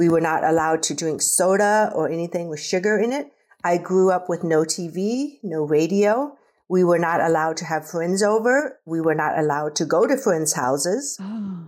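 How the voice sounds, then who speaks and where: An unremarkable speaking voice, a woman with an American accent talks at a moderate pace with a fairly low pitch and lively intonation on a very clean recording with a silent background. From US Midwest, rural Nebraska. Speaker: adult adoptee. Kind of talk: casual interview.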